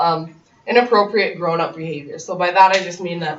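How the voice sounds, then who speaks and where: A woman whose voice sits fairly low races through her words at a very fast pace, with noticeable noise in the background. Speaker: abuse survivor and guest speaker. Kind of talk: personal testimony to a class. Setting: college classroom. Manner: loud.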